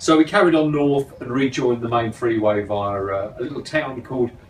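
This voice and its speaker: Noticeable background noise sits behind this recording. A man talks at a moderate pace and medium pitch with ordinary pitch variation. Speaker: motorcycle travel vlogger. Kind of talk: casual chat.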